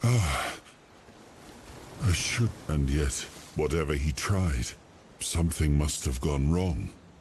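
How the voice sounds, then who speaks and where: A put-on character voice moves at a fairly slow pace with long, frequent pauses against clear background noise. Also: man, very deep, low pitch for a man. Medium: video game. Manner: halting, brooding.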